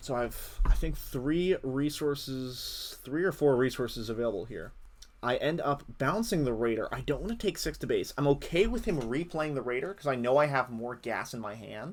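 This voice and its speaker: With lively intonation and a fairly high pitch, a man speaks on a very clean recording with a silent background. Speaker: card game player and commentator. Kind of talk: gameplay commentary. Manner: fast; hesitant, many fillers.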